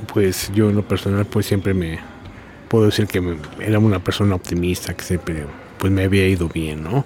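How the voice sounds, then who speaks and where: Long, frequent pauses break up this man's fairly low voice, which has ordinary pitch variation over noticeable background noise. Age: 60s. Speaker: prison inmate. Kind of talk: interview. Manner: halting.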